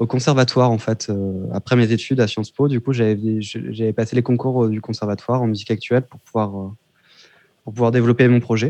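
A man at medium pitch, dark and mellow in tone, with monotone, flat intonation at a moderate pace. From Réunion until age 7, then mainland France. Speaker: musician. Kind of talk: interview.

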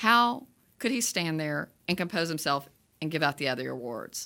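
A woman with a medium pitch speaks at a moderate pace in an animated, bright, sharp tone, with vocal fry and very wide pitch swings. The recording is very clean and the background silent. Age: 60s. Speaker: movie review podcast host. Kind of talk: casual chat.

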